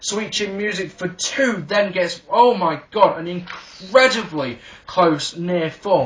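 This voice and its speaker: A man speaks very slowly in a high voice with ordinary pitch variation, and there is noticeable background noise. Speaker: wrestling reviewer. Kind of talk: video review. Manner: animated; halting.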